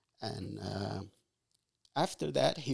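The speaker is a man. He has an Arabic accent. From Egypt. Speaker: father of the host. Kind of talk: casual interview, life story. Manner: halting, many fillers.

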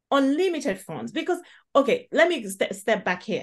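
A woman speaks with a Nigerian accent in a high voice that swings very widely in pitch. Her pace is moderate, and the background is quiet. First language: Igbo. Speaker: podcast host, healthcare worker. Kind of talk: casual chat.

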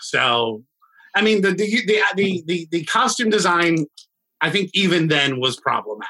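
A man's high, bright and sharp voice at a moderate pace, with very wide pitch swings and very even loudness. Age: 40s. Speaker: music school founder and law student. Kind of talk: casual chat. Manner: animated.

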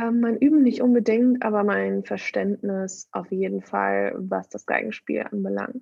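Hardly pausing at all, a woman keeps to a fairly slow pace. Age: 20s. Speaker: violinist. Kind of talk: interview.

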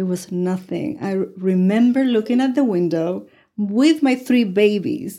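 In a Spanish accent, a woman speaks with a dark, mellow tone and lively intonation. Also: medium pitch for a woman, fairly slow pace. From Puerto Rico. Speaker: life coach. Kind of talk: interview.

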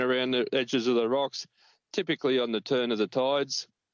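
Delivered with an Australian accent, the speech has a moderate pace and ordinary pitch variation. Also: man. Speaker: fishing reporter. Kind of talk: casual chat.

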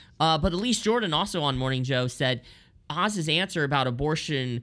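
A man's bright, sharp tone with vocal fry and very wide pitch swings, at a moderate pace, in a very clean recording with a silent background. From Lancaster, Pennsylvania. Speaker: associate editor, media critic. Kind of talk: casual political commentary.

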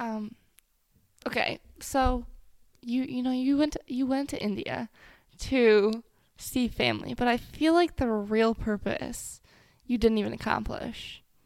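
Pausing long and often, a woman speaks at a fairly slow pace and fairly high pitch in a very clean recording with a silent background. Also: fairly even intonation. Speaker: podcast host. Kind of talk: casual chat.

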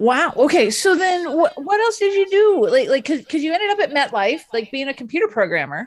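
A woman with an extremely high pitch talks at a fairly quick pace, her pitch swinging very widely. Noticeable background noise can be heard. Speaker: podcast host and body language expert. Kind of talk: interview. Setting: video call.

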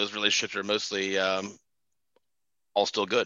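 This man talks at a moderate pace with a fairly low pitch. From Ohio. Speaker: stand-up comedian. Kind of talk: stand-up comedy. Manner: animated; profane, vivid storytelling.

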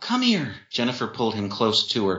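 The speaker is doing plain reading aloud. The delivery stays that way throughout.

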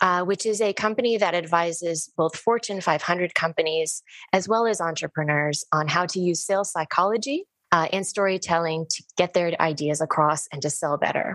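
In an ordinary speaking voice, a woman talks at a moderate pace and fairly low pitch with ordinary pitch variation. The sound is dry and close, with no echo. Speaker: podcast host. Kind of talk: interview, conversational. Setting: video call.

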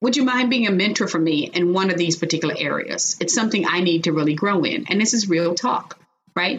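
A woman with an American accent has a normal speaking voice at a medium pitch. Her intonation is lively and her loudness very even. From Chicago, US Midwest. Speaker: corporate executive and author. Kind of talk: interview.

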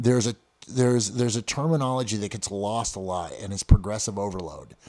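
The sound is dry and close with no echo as a man talks at a fairly quick pace and medium pitch in a dark, mellow tone. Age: 50s. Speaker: martial arts coach and gym owner. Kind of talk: casual interview. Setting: in-person studio interview. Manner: halting, many repeated words.

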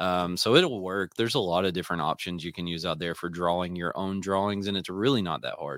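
At a very fast pace with hardly any pauses, a man speaks in a very deep, low pitch with ordinary variation. The recording is very clean, with a silent background. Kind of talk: casual chat. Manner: fast talker.

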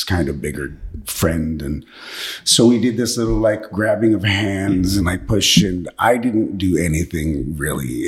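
At a fairly slow pace, a man talks in a very deep, low voice with ordinary pitch variation. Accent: American. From Washington State, US. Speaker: actor. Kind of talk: interview, life story.

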